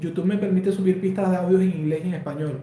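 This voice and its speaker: Audible room echo surrounds a man with a Colombian accent. His pitch is high, with ordinary variation. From Colombia, Valledupar. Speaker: embroidery designer and online teacher. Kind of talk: live stream Q&A. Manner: conversational, with fillers.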